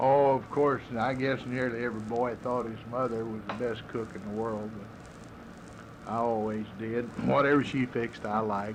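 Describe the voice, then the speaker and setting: Against noticeable background noise, a man speaks at a moderate pace with medium pitch, monotone, flat intonation, and hardly any pauses. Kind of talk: interview, casual reminiscing.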